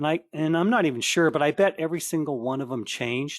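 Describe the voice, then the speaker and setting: A man at a fairly quick pace with ordinary pitch variation, dry, close sound with no echo, and a quiet background. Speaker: webinar trainer. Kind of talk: online training webinar. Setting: webinar call from home office. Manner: loud; fast, hesitant with fillers.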